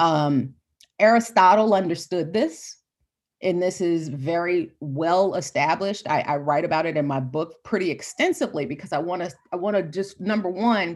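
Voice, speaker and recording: A woman at a fairly low pitch speaks at a moderate pace in a passionate tone with lively intonation. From Florida, US South. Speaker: professor. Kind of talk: interview conversation.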